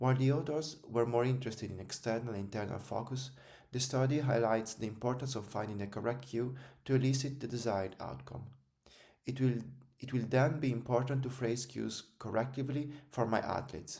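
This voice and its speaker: With an Italian accent, a man talks at a fairly quick pace and medium pitch in a somewhat breathy voice with a dark, mellow tone, his intonation fairly even and audible room echo around him. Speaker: strength and conditioning coach. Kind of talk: scripted narration.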